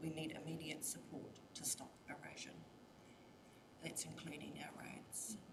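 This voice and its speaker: The speaker whispers slowly, at a fairly slow pace, with long, frequent pauses. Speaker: community submitter at council hearing. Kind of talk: public submission presentation.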